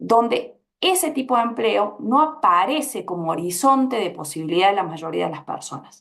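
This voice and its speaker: Moderate pace, an Argentine accent and very wide pitch swings. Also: woman, fairly high pitch for a woman. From Argentina. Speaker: panelist, labor researcher. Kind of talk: panel discussion. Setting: public event panel.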